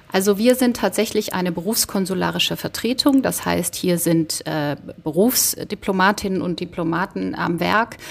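A woman speaks at a medium pitch. Her voice has vocal fry. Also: ordinary pitch variation, moderate pace. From Rhineland, Germany (Bergisch Gladbach). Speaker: diplomat. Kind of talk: interview. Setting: remote call. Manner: formal.

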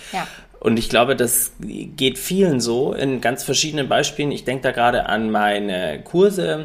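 With vocal fry and very wide pitch swings, a man speaks at a medium pitch and a moderate pace. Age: 30s. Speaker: podcast co-host and fitness coach. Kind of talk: casual chat.

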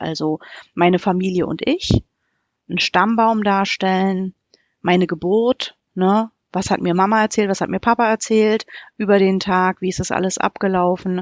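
A woman's medium-pitched voice in a calm tone, moderate in pace with fairly even intonation. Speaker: primary school teacher. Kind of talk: casual interview.

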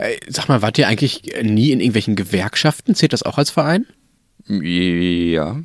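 Swinging very widely around a medium pitch, a man speaks at a moderate pace. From Germany. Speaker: political journalist, podcast co-host. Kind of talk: casual chat.

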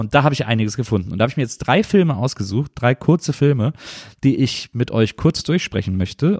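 A man talks very fast with lively intonation in a very clean recording with a silent background and a dry, close sound with no echo. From Germany, Rhineland (Wesseling near Cologne). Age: 40s. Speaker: podcast host. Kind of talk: casual solo monologue. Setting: room, recording alone.

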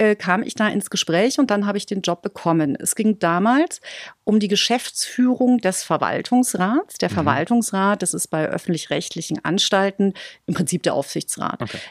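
A woman talks with lively intonation in an ordinary speaking voice. The sound is dry and close with no echo, and the recording is very clean with a silent background. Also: medium pitch for a woman, moderate pace. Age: 40s. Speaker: media and communications executive. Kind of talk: interview.

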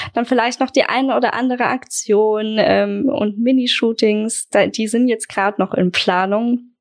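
In an unremarkable speaking voice, a woman talks at a moderate pace with a fairly high pitch, fairly even intonation and very even loudness. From Germany, Aschaffenburg (Lower Franconia). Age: 20s. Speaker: wedding photographer. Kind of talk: casual interview.

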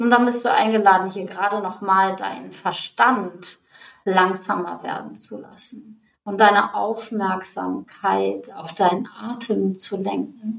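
A woman talks at a very slow pace. Her loudness rises and falls in big swings. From North Frisia, northern Germany. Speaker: coach, podcast co-host. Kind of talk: casual chat; guided meditation. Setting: home recording, separate rooms.

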